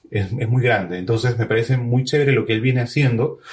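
Speaking very fast, a man keeps his pitch moving in an ordinary way. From Peru, Trujillo. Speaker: podcast host and musician. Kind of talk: casual interview over live video stream.

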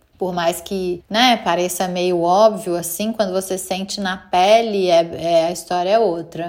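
Fairly even intonation marks this very slow delivery. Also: woman. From Brazil, Minas Gerais (Belo Horizonte). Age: 40s. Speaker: mother, creative director. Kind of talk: interview testimony.

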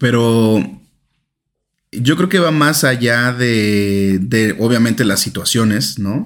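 Speaking at a very slow pace, a man keeps a medium pitch. His intonation is lively. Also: very even loudness. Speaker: podcast co-host. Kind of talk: casual chat.

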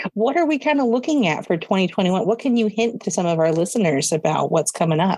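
Speaking at a fairly quick pace with hardly any pauses, a woman with a West Coast accent keeps a medium pitch, swings it very widely, and holds her loudness very even. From Oregon (Hillsboro). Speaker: nonprofit program assistant. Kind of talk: casual interview chat. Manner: hesitant, with filler words.

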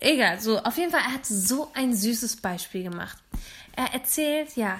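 In a very clean recording with a silent background, a woman talks at a fairly slow pace with lively intonation and a fairly high pitch. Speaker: podcast co-host. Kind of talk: casual chat. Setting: late-night home recording after iftar.

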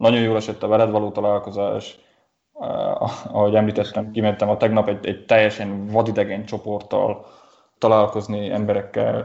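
The man's pitch is fairly low and his pace moderate. His intonation is monotone and flat. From Transylvania, Romania (Gyergyó region, Székely). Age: 20s. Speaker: designer. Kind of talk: interview conversation. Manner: halting, many repetitions.

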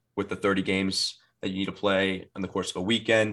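A man talks at a fairly quick pace in a bright, sharp tone with a fairly low pitch. The recording is very clean with a silent background. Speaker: FIFA player guest. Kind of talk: casual chat.

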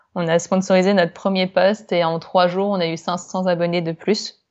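A woman's monotone, flat intonation holds at a medium pitch while she talks at a moderate pace. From France. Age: 20s. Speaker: yoga teacher and graphic designer. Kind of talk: interview. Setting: remote call.

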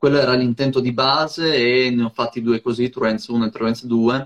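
Dry and close with no echo, a man's voice comes through at a medium pitch. He speaks at a moderate pace with flat, monotone intonation. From Friuli-Venezia Giulia, near Trieste. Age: 20s. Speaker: hip hop DJ. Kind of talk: casual chat.

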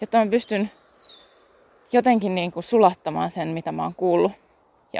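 Recorded with a dry, close sound and no echo, a woman with a medium pitch and a dark, mellow tone speaks at a moderate pace with fairly even intonation and vocal fry. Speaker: podcast host and Human Design coach. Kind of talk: casual solo monologue. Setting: outdoors, walking. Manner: halting, with fillers and self-corrections.

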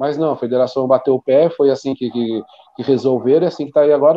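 This man's pitch sits in the medium range. His pitch variation is ordinary. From Brazil, São Paulo state (Taubaté). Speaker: football coach and club director. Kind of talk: casual interview.

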